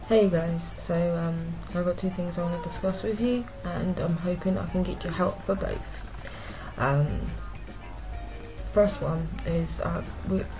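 A woman with a British accent, long, frequent pauses and clear music in the background. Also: fairly slow pace. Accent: British-sounding. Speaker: vlogger. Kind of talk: casual talk to camera. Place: home room. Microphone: webcam.

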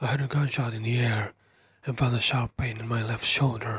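Somewhat breathy, a man speaks at a fairly quick pace in a monotone, flat intonation. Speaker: horror story narrator. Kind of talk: whispered first-person horror story narration. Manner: soft-spoken ASMR delivery.

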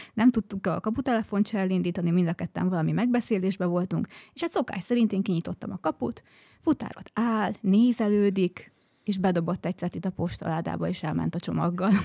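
Over a quiet background, a voice with a dark, mellow tone and vocal fry moves at a fairly quick pace with ordinary pitch variation. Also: woman. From Hungary. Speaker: guest, wife of smart home enthusiast; guest. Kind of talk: casual chat. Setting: studio. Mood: relaxed, friendly. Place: studio. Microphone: studio mic.

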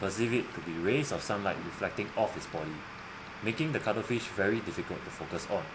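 Enthusiastic tone with very wide pitch swings, a fairly quick pace and noticeable background noise. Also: man. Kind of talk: nature documentary narration. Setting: voiceover. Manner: earnest, clear, schoolroom-style narration with a wondering, enthusiastic tone.

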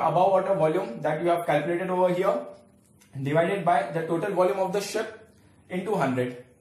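In a room with audible echo, a man with a high voice talks at a very fast pace. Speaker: teacher. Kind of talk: lecture. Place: home room. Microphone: camera far.

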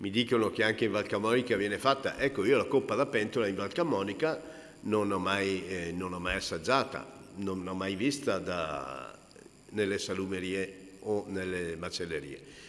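In an ordinary speaking voice, a man talks at a fairly slow pace with a fairly low pitch and ordinary pitch variation. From Italy, Brescia lowlands (Cigole); Italy. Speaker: cured meats expert and taster; presenter. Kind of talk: talk at a book presentation. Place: hall. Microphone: podium.

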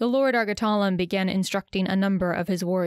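The speaker is doing plain reading aloud.

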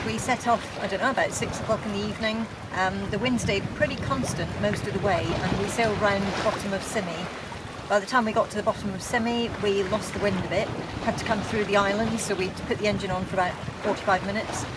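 Very fast speech over loud background noise. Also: dry sound with no echo. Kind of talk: casual vlog chat. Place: boat. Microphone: phone near.

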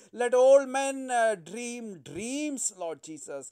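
In a quiet background, a man speaks very slowly at an extremely high pitch, with ordinary pitch variation. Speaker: pastor. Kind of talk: fervent spoken intercessory prayer addressing God directly. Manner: halting, full of filler sounds 'uh, oh' between phrases. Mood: fervent, emotional prayer. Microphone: phone near.

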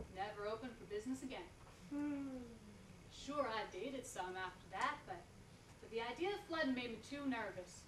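A woman's fairly high voice at a moderate pace, lively in intonation, with long, frequent pauses and noticeable background noise. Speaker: performer. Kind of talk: stage monologue performance. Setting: stage with audience. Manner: animated, comic, coy character voice with laughs; halting, hesitant, flustered, stammering repeats. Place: stage. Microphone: camera far.

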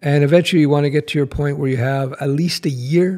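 A man talks at a fairly quick pace, the background quiet. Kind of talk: casual vlog chat. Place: home room. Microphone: studio mic.

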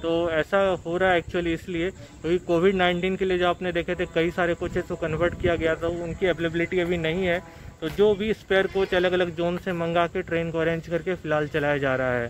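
Over light background noise, a man speaks at a high pitch and a moderate pace in a monotone, flat delivery, the sound dry with no echo. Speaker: travel vlogger. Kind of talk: casual vlog chat. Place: station. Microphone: phone near.

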